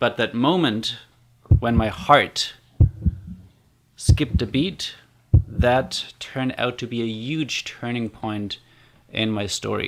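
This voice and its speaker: The man's voice sits at a medium pitch with fairly even intonation. He speaks at a fairly slow pace. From Germany. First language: German. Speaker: community builder and online course creator. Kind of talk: personal storytelling vlog. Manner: casual, conversational with fillers.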